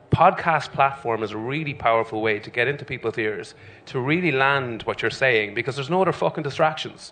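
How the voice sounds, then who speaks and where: With an Irish accent, a man talks fairly quickly in a bright, sharp tone, his pitch varying in an ordinary way. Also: medium pitch for a man. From Ireland. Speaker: singer and TV personality. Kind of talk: live podcast panel chat.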